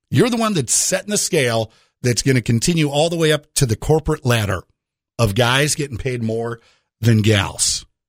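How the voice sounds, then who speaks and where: In a very clean recording with a silent background, a man with a medium-pitched, somewhat breathy voice uses lively intonation, the sound dry and close with no echo. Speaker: radio host. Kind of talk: radio DJ patter, chatty morning-show banter. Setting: radio studio. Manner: animated, fast, conversational storytelling with punchy comic timing.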